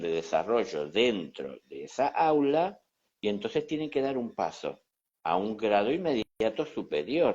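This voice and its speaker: Medium-pitched male speech at a fairly slow pace, with very wide pitch swings. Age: 60s. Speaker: spiritual teacher. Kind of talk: conversational teaching talk. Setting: Instagram live conversation.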